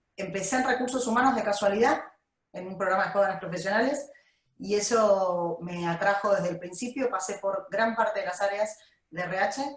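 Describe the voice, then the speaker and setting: The speaker is a woman with a medium pitch and ordinary pitch variation. She talks at a fairly quick pace in an ordinary speaking voice. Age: 40s. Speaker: HR director. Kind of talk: interview.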